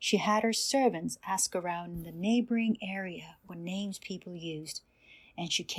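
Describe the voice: Someone reads aloud plainly, with ordinary pitch variation.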